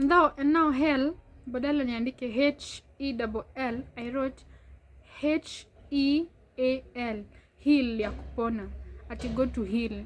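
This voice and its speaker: A woman's high voice at a fairly slow pace, with long, frequent pauses and fairly even intonation. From Kenya, Narok. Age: 20s. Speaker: vlogger. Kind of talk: casual Q&A vlog.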